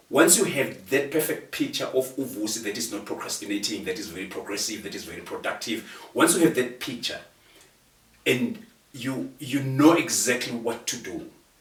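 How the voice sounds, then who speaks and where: Somewhat breathy, a man speaks in a passionate tone with lively intonation, and audible room echo is heard. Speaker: guest speaker on procrastination. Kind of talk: conversational interview.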